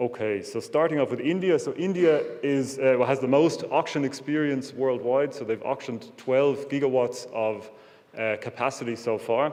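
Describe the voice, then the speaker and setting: An Irish accent at a moderate pace, with ordinary pitch variation. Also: man, fairly high pitch for a man. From Ireland. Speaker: wind energy sales executive. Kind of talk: conference presentation. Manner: hesitant, many fillers.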